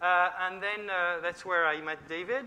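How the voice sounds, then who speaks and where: Spoken with a French accent at a moderate pace. The tone is bright and sharp, and the intonation stays fairly even. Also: man. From France. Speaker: software engineer, conference speaker. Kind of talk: conference talk. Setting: stage with audience.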